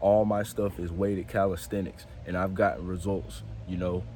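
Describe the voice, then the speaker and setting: Through audible room echo, a man talks at a fairly quick pace in a dark, mellow tone. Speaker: fitness vlogger. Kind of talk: casual vlog talk to camera.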